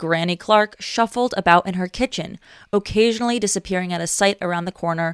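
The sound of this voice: The speaker uses an unforced reading voice, its pitch varying in an ordinary way.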